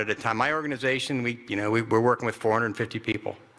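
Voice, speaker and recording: A man's intonation stays fairly even against noticeable background noise. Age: 60s. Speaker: retired army ranger, veterans nonprofit director. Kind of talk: keynote speech. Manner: halting, repetitive.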